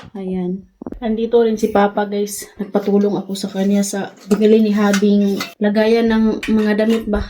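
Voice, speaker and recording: A woman's medium-pitched voice, fairly slow and monotone with flat intonation, over noticeable background noise. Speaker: family vlogger. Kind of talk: vlog narration.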